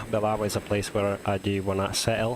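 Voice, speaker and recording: A man's fairly low, monotone, flat voice at a fairly quick pace over noticeable background noise. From Lithuania. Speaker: game streamer. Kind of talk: live gameplay stream chat. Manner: casual, halting with fillers.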